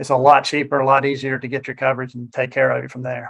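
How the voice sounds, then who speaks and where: A man with a fairly high pitch talks at a very fast pace in a monotone, flat intonation. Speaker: financial advisor. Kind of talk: educational presentation.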